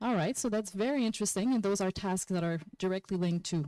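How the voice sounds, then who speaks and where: Her tone is dark and mellow, with a medium pitch for a woman. Behind her is total silence on a very clean recording. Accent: non-native. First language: not English. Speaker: workshop presenter. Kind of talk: conference workshop presentation. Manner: animated.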